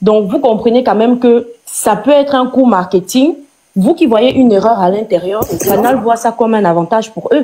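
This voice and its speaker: In a Cameroonian accent, the speaker uses a dark, mellow tone at a moderate pace with ordinary pitch variation. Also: woman, fairly high pitch for a woman. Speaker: live stream participant. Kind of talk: heated debate. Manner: animated; halting, many repetitions.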